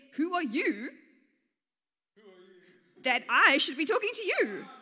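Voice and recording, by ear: A woman's put-on character voice, high-pitched and slow, with a bright, sharp tone and big pitch swings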